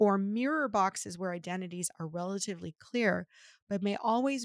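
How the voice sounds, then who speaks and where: A woman's medium-pitched voice with an American accent, ordinary pitch variation and a moderate pace, in a very clean, dry, close recording with no echo and a silent background. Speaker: podcast co-host. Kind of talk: casual chat; reading aloud.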